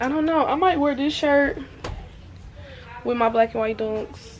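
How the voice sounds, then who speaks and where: A woman speaks in a high voice over light background noise. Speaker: vlogger. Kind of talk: casual vlog chat. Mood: relaxed, playful. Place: home room. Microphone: phone near.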